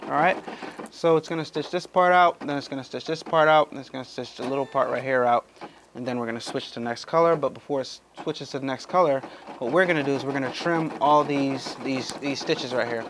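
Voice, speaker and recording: With noticeable background noise behind him, a man rattles along at a very fast pace in a fairly high pitch. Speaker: YouTuber demonstrating machine embroidery. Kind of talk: tutorial. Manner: casual, animated.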